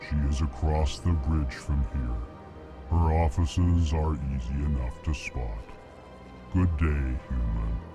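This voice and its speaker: Over clear background music, a put-on character voice moves at a fairly slow pace. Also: man. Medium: game stream. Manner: flat monotone, prefaces lines with emotion labels.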